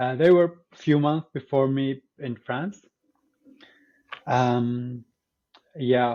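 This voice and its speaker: A man with an Arabic accent talks at a very slow pace, leaving long, frequent pauses. His pitch is medium and his intonation fairly even. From Syria. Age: 20s. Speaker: teacher education student. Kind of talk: podcast interview. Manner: hesitant, many fillers.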